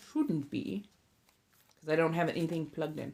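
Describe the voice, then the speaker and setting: This is a woman speaking in an American accent. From Southern California. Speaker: ASMR livestreamer and tarot reader. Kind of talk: casual livestream chat. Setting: livestream.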